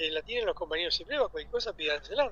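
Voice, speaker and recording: A man speaks with an Argentine accent. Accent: Rioplatense Argentine Spanish. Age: 60s. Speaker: union leader. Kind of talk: radio interview. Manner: animated.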